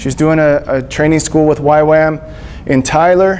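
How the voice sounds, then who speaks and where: In a Texas accent, a man talks at a fairly slow pace with fairly high pitch and fairly even intonation. Audible room echo and noticeable background noise fill the recording. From Texas, Panhandle then Gulf Coast. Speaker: missionary speaker. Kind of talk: church talk. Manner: casual, halting with fillers.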